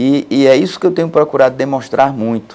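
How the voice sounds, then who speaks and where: A man's dark, mellow voice with lively intonation. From Pernambuco backlands, Brazil. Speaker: court president, judge. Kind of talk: interview. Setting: studio. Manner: plain, easy-to-understand speech; halting with repetitions.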